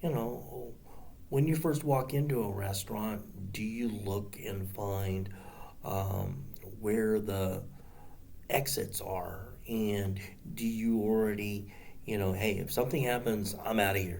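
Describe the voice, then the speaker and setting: A man with a fairly low pitch speaks at a very slow pace, with ordinary pitch variation and audible room echo. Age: 60s. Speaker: martial arts instructor. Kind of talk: casual monologue to camera. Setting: seated on the ground. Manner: halting, many fillers.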